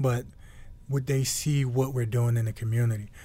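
A man speaks with an American accent in a dark, mellow tone that is somewhat breathy. His pace is fairly quick and his intonation fairly even. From Newark, New Jersey. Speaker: retired football player. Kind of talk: casual chat.

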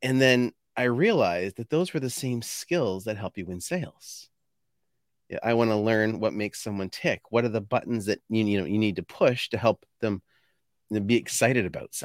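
A man with a Canadian accent, an ordinary speaking voice, medium pitch, ordinary pitch variation and a moderate pace, in a dry, close sound with no echo on a very clean recording with a silent background. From Canada, New Brunswick. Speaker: sales consultant. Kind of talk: casual interview.

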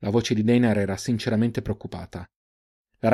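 The delivery is plain reading aloud, its intonation fairly even. Behind it, things stay quiet.

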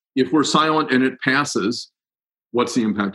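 A man with an American accent talks at a moderate pace in a plain, everyday voice, with ordinary pitch variation. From Ohio, US Midwest (Cincinnati). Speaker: climate advocacy group director. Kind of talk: interview.

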